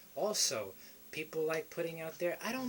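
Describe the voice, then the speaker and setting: In a New York accent, a man speaks at a fairly slow pace. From New York City, the Bronx. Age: 20s. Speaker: motivational vlogger. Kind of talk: motivational talk to camera.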